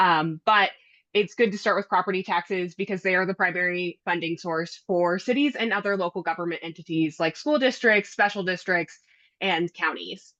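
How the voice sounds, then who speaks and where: A loud woman's voice with a bright, sharp tone and ordinary pitch variation, at a moderate pace, dry and close with no echo, over a quiet background. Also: medium pitch for a woman. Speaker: finance lobbyist for a league of cities. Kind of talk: presentation to city council.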